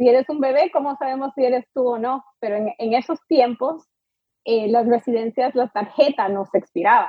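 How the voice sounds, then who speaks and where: A woman with a high voice and ordinary pitch variation speaks at a moderate pace. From US, Miami Beach, Florida. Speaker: immigration lawyer. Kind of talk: interview.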